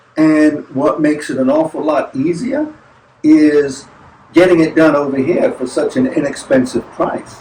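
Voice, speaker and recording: A man with an American accent, lively intonation and a fairly slow pace, over noticeable background noise. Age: 60s. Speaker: travel vlogger. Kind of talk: casual chat. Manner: halting.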